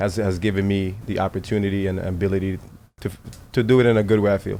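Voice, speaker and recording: Speaking very fast, a man with a Virgin Islands accent has a dark, mellow tone at a fairly low pitch. His intonation is monotone and flat. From US Virgin Islands (Saint Thomas). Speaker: baseball coach, former pro player. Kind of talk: podcast interview.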